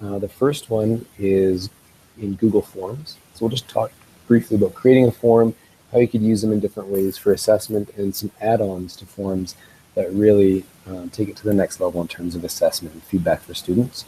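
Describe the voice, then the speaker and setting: Somewhat breathy and dark, mellow in tone, a man's fairly low voice keeps a fairly even intonation with big swings in loudness in a dry, close sound with no echo. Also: moderate pace. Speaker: educational technology presenter. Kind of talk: tutorial.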